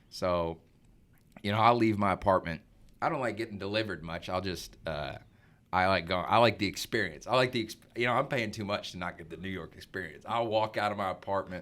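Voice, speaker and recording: In a very clean recording with a silent background, a man speaks at a fairly quick pace in a fairly low pitch, with ordinary pitch variation and big swings in loudness. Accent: Arkansas. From Arkansas, US South. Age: 20s. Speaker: young professional, son of host. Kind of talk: casual chat. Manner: casual, filler-heavy.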